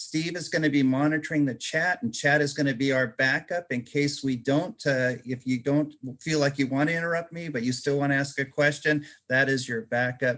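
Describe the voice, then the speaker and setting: Here a man speaks at a fairly quick pace. His pitch is fairly high and his intonation fairly even. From overseas, outside the US. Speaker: public speaking organization leader. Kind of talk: leadership training talk.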